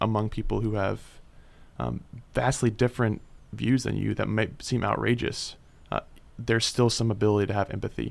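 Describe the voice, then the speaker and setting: In a very clean recording with a silent background, a man speaks at a fairly low pitch in a monotone, flat intonation. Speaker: radio host. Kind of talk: casual interview discussion.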